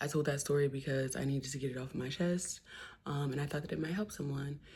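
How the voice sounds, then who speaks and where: A somewhat breathy woman's voice, very deep and low in pitch, with an American accent. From New Jersey. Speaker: poet and musician, vlogger. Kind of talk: casual chat.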